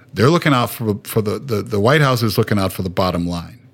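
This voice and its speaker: This is a man speaking. His pitch is fairly low. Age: 50s. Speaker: firefighter. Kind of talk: casual chat. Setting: video call. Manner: halting.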